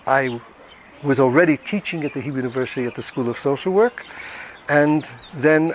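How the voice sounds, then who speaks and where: Noticeable background noise sits under this recording. The speaker is a man with a fairly high pitch. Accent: American. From New York (Brooklyn). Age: 70s. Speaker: retired social welfare director. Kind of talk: interview testimony. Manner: hesitant with fillers.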